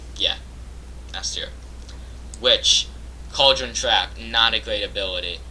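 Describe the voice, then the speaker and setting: Noticeable background noise accompanies a man whose speech proceeds at a fairly slow pace. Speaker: gaming youtuber. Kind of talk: casual commentary. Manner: hesitant, many fillers.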